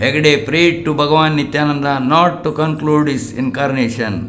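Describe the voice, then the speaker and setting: A man with a fairly high pitch and fairly even intonation at a moderate pace, with music in the background. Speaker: spiritual teacher. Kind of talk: audiobook narration.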